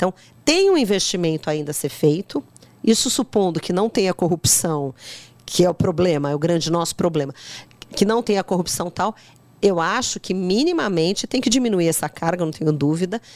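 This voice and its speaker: A woman's unremarkable speaking voice at a moderate pace. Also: fairly low pitch for a woman, lively intonation. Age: 50s. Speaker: politician. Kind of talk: podcast interview.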